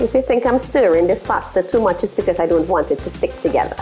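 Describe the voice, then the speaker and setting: A woman speaks with faint music in the background. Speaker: cooking show host. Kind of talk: cooking show tutorial. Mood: cheerful, upbeat. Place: kitchen. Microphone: lapel.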